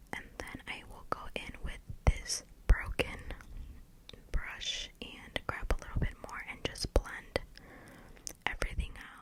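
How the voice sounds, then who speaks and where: Whispering at a very slow pace, the voice has long, frequent pauses and big swings in loudness over noticeable background noise. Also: woman. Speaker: ASMR content creator. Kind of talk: get ready with me makeup video, casual talk to camera. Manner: soft-spoken, whispered.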